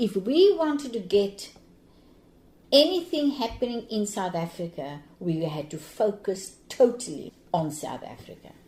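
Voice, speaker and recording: Speaking at a fairly slow pace, a woman with a dark, mellow tone and a medium pitch sounds somewhat breathy, her pitch swinging very widely and her loudness shifting in big swings. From Cape Town, South Africa. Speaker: anti-apartheid activist, retired teacher. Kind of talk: interview answer.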